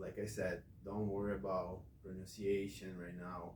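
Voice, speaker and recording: Somewhat breathy and fairly low, a man's voice with a non-native accent comes at a fairly slow pace amid audible room echo. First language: not English. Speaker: English teacher. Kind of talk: classroom instruction.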